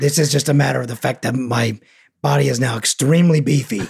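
This put-on character voice races along at a very fast pace. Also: man, medium pitch for a man. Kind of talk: thick, slightly hard to enunciate.

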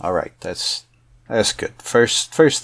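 A man is speaking. His pace is fairly slow. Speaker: stay-at-home dad and player. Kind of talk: tabletop RPG roleplay, noir detective narration. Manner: dry, deadpan noir detective delivery; relaxed, casual, hesitant with fillers.

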